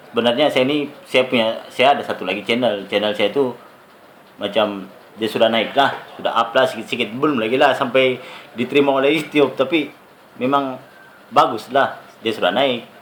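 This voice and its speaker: With a medium pitch and ordinary pitch variation, a man talks fairly quickly as noticeable background noise plays. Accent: Sabah. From Sabah, Malaysia. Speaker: YouTuber. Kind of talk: tutorial.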